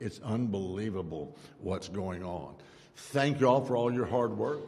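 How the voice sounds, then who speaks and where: Speaking at a fairly slow pace with lively intonation, a man with an American accent has a fairly low pitch and a dark, mellow tone, with audible room echo. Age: 70s. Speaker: politician. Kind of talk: public speech.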